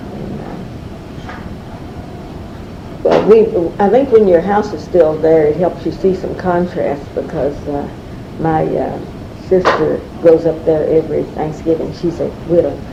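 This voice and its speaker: Delivered at a fairly slow pace with long, frequent pauses and big swings in loudness, the speech carries audible room echo over noticeable background noise. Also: woman, fairly low pitch for a woman, ordinary pitch variation. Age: 70s. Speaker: oral history interviewee. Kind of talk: oral history interview. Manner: halting, many fillers.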